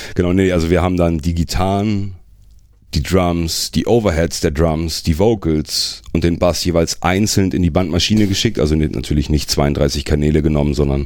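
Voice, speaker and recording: This man's voice is very deep and low, with ordinary pitch variation and very even loudness. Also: moderate pace. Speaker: metal singer. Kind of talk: casual chat.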